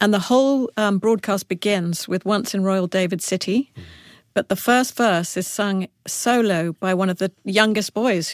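A woman with an English accent and ordinary pitch variation, in a very clean, dry, close recording with no echo and a silent background. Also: medium pitch for a woman, fairly slow pace. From Africa, then schooled in England. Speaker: children's book author. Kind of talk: interview.

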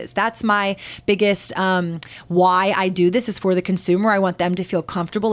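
A woman at a moderate pace, with a Texan accent. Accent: Texan American English. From Texas. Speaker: CBD business owner. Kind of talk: podcast interview.

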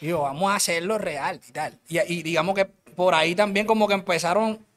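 A man is speaking. His pace is moderate. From Colombia, Cartagena (Caribbean coast). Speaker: rapper. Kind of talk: casual interview chat. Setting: studio.

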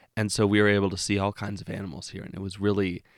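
A man's fairly low voice at a fairly quick pace, an ordinary speaking voice, dry and close with no echo, on a very clean recording with a silent background. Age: 20s. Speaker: podcast host and storyteller. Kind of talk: storytelling.

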